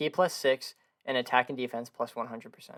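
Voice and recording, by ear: A man speaks at a fairly quick pace, his medium pitch showing little movement. His fairly bright tone carries some vocal fry.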